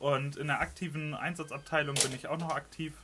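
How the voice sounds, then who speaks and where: A man speaks at a moderate pace. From northern Germany. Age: 20s. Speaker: emergency response team leader. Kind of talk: casual chat. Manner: hesitant, many fillers.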